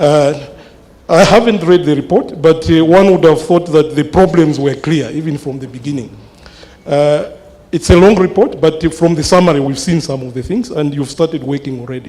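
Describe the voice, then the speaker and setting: A man's fairly high-pitched voice with big swings in loudness, over noticeable background noise. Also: ordinary pitch variation, moderate pace. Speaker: mathematics lecturer. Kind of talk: town hall question. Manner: halting, many fillers.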